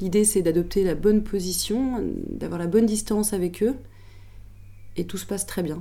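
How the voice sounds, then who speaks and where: This woman's voice has a dark, mellow tone and some vocal fry. She leaves long, frequent pauses. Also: medium pitch for a woman, ordinary pitch variation, moderate pace. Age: 30s. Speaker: prison teacher. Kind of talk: testimony.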